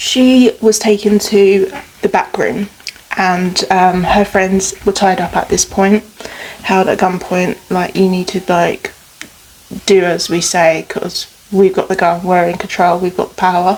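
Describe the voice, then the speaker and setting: A woman speaks at medium pitch and a fairly slow pace. Her intonation is fairly even, with noticeable background noise behind her. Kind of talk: casual true crime storytelling while doing makeup.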